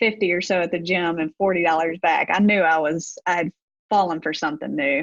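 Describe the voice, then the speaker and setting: A woman talks at a moderate pace in a Deep South accent. The sound is dry and close, with no echo. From US Deep South, Gulfport, Mississippi. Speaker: gym owner, former college basketball coach. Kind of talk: podcast interview.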